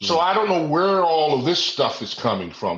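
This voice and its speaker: At a moderate pace, a man speaks with an American accent. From Washington DC. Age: 60s. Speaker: retired law enforcement officer. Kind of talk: interview.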